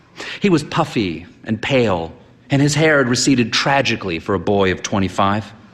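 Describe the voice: The intonation sounds lively. Someone is doing plain reading aloud.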